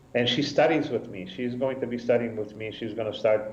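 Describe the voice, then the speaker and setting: A man with a dark, mellow tone speaks amid audible room echo. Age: 70s. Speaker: rabbi. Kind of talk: casual chat. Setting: synagogue live broadcast.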